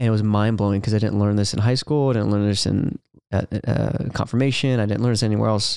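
Talking at a very fast pace with a Californian accent, a man keeps a fairly low pitch, fairly even intonation and very even loudness. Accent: Californian American. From California, Ventura. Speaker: worship leader and speaker. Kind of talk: casual interview. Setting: podcast studio.

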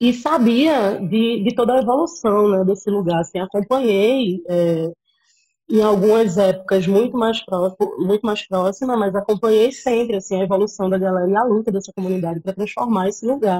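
With a dark, mellow tone, a woman speaks at a moderate pace, her medium pitch showing ordinary variation. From Pernambuco, Brazil (Cabo de Santo Agostinho). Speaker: filmmaker. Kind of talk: casual interview.

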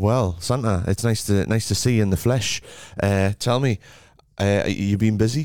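A man speaks in a normal speaking voice at a moderate pace. His pitch is fairly low, and his loudness stays very even. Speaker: radio host. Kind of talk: radio DJ patter: cheery festive show intros, song cues and banter with a co-host. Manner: upbeat, chatty, bantering, playful; brisk presenter-style links.

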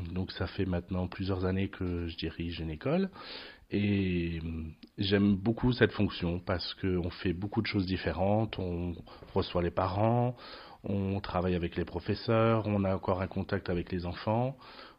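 A man speaks with a very deep, low pitch and ordinary pitch variation. His pace is fairly slow, with long, frequent pauses. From France, Lorraine. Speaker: school principal. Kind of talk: interview. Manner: hesitant, many fillers.

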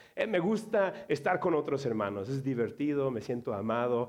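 Against a quiet background, a man with a Mexican accent speaks at a moderate pace in a fairly high voice with very wide pitch swings. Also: hardly any pauses. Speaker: pastor. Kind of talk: sermon. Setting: church. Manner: halting.

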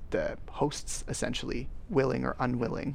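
A man with a Canadian accent, plus audible room echo. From Canada. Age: 30s. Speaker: podcast host. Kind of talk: interview.

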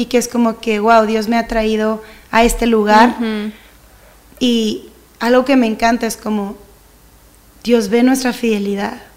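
Speaking at a fairly slow pace, a woman with a northern Mexican accent has a fairly high pitch. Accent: northern Mexican (regio) Spanish. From Mexico, Monterrey. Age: 30s. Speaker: church leader and singer. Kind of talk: casual chat. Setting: studio.

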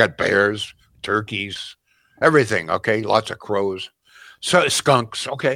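A Canadian-accented man talks at a moderate pace in a bright, sharp, animated tone. The recording is very clean with a silent background. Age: 80s+. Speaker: talk radio host. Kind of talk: talk radio chat. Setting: studio.

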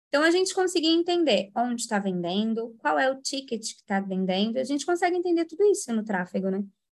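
Very fast speech with very wide pitch swings and hardly any pauses. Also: woman, high pitch for a woman. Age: 20s. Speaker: paid traffic manager. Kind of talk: casual chat.

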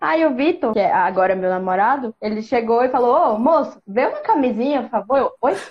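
The pace is moderate. The intonation is lively. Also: woman. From Ceará, Brazil. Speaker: advertising professional and podcaster. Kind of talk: casual chat.

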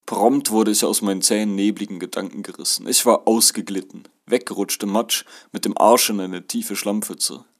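A man with a fairly low pitch and an ordinary speaking voice, at a fairly quick pace. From Germany. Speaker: author narrating his experiences as an exchange student. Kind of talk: reading aloud of a first-person travel memoir.

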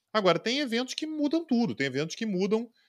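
A man talks fairly quickly on a very clean recording with total silence behind him. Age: 30s. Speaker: international relations professor and political commentator. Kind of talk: casual interview chat.

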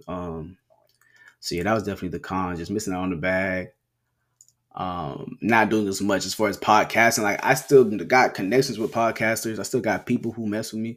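With an American accent and a plain, everyday voice, the speaker talks at a fairly quick pace with ordinary pitch variation on a very clean recording with a silent background. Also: man, fairly low pitch for a man. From Florida, Palm Beach. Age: 20s. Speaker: podcaster and student. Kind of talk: casual solo monologue.

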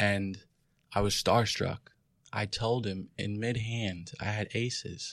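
A man with a New York accent speaks very slowly at a fairly low pitch, his intonation fairly even. The recording is very clean, with a silent background. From New York City, Queens. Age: 20s. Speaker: professional poker player. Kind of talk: casual interview. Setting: studio.

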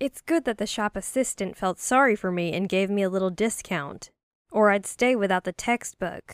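An ordinary speaking voice from a woman, fairly high in pitch, with ordinary pitch variation and a moderate pace, in a very clean, dry, close recording with a silent background and no echo. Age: young. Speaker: storyteller. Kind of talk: scripted narration.

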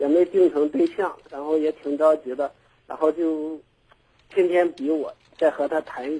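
With a dark, mellow tone, a man speaks at a moderate pace in a fairly high pitch and with fairly even intonation. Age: 30s. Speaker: caller. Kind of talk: call-in advice talk.

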